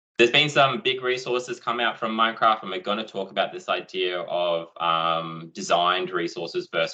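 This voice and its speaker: This is a man speaking with an Australian accent. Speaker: education technology presenter. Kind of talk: online conference presentation. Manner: fast.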